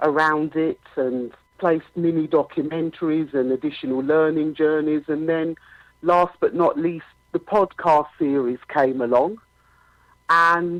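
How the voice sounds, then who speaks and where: A woman speaks at a very deep, low pitch with fairly even intonation. Her pace is fairly slow. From UK. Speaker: author, podcaster, school leader. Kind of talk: interview answer.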